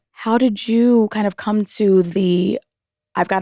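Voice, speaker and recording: This is a plain, everyday voice, a woman's at medium pitch with ordinary pitch variation. The recording is very clean with a silent background, and the sound is dry and close with no echo. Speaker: interviewer. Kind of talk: casual interview.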